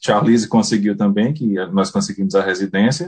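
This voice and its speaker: With lively intonation and a northeastern Brazilian accent, a man speaks at a moderate pace. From Paraíba, Brazilian Northeast. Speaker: beekeeper. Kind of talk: casual interview.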